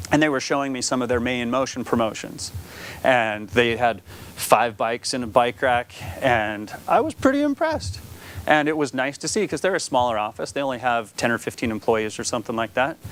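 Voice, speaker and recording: A man's medium-pitched voice at a fairly quick pace, with ordinary pitch variation. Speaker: conference presenter. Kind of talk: conference presentation. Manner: fast.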